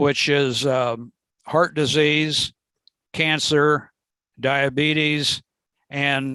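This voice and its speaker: Pausing long and often, a man with a fairly high pitch and a bright, sharp tone speaks very slowly in a flat monotone. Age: 70s. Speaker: nutrition instructor. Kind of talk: course presentation. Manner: halting.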